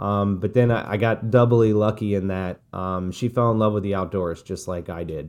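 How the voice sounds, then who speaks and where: Against a quiet background, a man with fairly low pitch speaks at a moderate pace with fairly even intonation and hardly any pauses. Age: 40s. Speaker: retired special operations veteran and executive coach. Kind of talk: interview. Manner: halting, many fillers.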